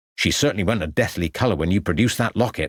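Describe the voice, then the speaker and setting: In a put-on character voice, a man growls at a fairly low pitch and a very fast pace, with lively intonation, very even loudness, and a dry, close sound with no echo. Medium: read story.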